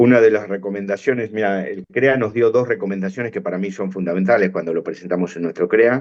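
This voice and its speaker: A man with a Rioplatense accent, a fairly low pitch and fairly even intonation. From Argentina, La Plata. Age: 60s. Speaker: veterinarian and farm business manager. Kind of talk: interview.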